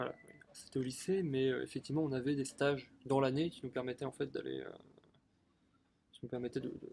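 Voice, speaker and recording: This man has a dark, mellow tone at a medium pitch, speaking at a fairly quick pace with fairly even intonation. His loudness swings widely, and he takes long, frequent pauses. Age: 20s. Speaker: shop worker. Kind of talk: interview. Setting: outdoors in a garden. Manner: hesitant, many fillers.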